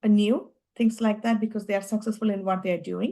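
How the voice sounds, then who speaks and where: A woman speaks with an Indian accent. Her pitch is fairly high and her tone is dark and mellow. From India, Kerala. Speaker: tech executive. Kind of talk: interview. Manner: halting.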